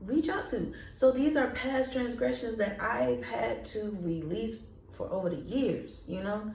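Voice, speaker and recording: Against noticeable background noise and audible room echo, a woman with a fairly high pitch speaks in an animated tone with ordinary pitch variation. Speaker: vlogger and artist. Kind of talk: casual vlog monologue. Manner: passionate, can sound angry.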